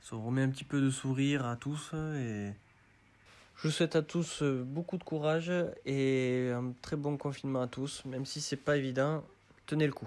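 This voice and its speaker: In a plain, everyday voice, a man speaks at a moderate pace, fairly high in pitch, with fairly even intonation. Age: 30s. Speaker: car enthusiast. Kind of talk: self-recorded video presentation.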